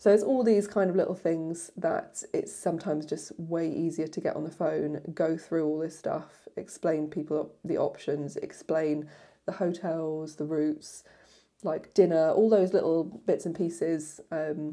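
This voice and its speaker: Against a quiet background, a woman talks with a fairly low pitch, fairly even intonation and a fairly slow pace. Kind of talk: casual vlog chat. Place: home room. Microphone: lapel.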